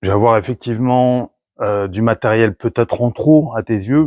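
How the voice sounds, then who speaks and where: This man's voice is pitched in the middle range, his intonation mostly level. The recording sounds dry and close-up, without any echo. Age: 50s. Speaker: motorcycle travel vlogger. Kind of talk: gear presentation vlog. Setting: garage. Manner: hesitant, many fillers.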